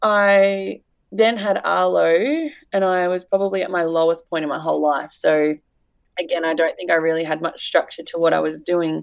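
A woman with an Australian accent talks at a moderate pace in a very clean recording against a silent background. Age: 20s. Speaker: mother and social media personality. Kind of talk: casual interview chat.

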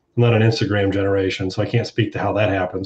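This is a man speaking. He has an American accent. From Ohio, US Midwest. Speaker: consumer panelist, medical data consultant. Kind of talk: panel discussion.

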